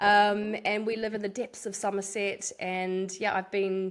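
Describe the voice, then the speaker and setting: Fairly even intonation in a New Zealand accent at a fairly slow pace. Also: woman. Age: 40s. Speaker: fitness coach. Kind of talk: interview.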